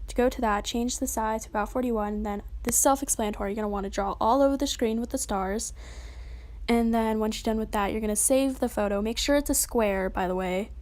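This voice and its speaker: Her pitch fairly high, a woman talks with fairly even intonation. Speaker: tutorial youtuber. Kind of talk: tutorial. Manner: fast; casual.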